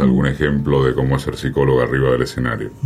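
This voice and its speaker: A man speaks with a Rioplatense accent over noticeable background noise. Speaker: radio host. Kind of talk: interview.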